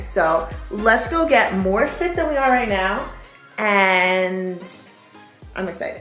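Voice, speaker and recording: A fairly slow pace with audible room echo and faint music in the background. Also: woman. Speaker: fitness vlogger. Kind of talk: casual vlog chat. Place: home room. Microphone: phone near.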